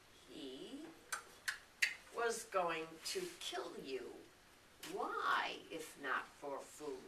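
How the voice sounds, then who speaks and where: Clear background noise and a slight echo surround a put-on character voice that moves at a very slow pace with long, frequent pauses. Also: female-sounding voice. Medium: stage play. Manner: blunt, scornful.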